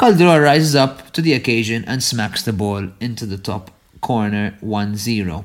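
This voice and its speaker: Lively intonation from a man at medium pitch and a moderate pace. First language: not English. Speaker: football podcast co-host. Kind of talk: casual chat.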